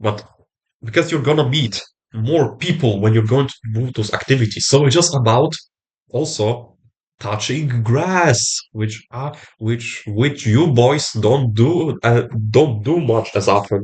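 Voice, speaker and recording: A man with a medium-pitched, somewhat breathy voice talks at a fairly slow pace with ordinary pitch variation. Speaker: self-improvement vlogger. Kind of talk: motivational talk to camera. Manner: halting.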